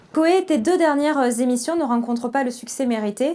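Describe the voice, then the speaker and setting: This woman's high voice moves at a moderate speed, with ordinary pitch variation and noticeable background noise behind it. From southern France.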